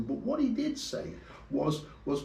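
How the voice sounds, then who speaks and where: Audible room echo colors the recording. The man's voice is somewhat breathy. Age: 60s. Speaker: motorcycle vlogger. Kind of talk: casual vlog tutorial. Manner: hesitant, repeats words.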